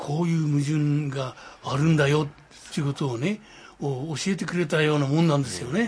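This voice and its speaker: This man talks at a fairly quick pace, his fairly high voice somewhat breathy and showing ordinary pitch variation. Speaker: war veteran. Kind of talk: testimony. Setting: at home. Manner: animated.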